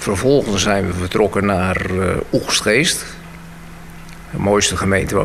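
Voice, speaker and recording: A man's fairly low voice, fairly slow with long, frequent pauses, against noticeable background noise. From Bussum, Netherlands. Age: 70s. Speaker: senior council chairman. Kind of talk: radio interview. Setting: studio.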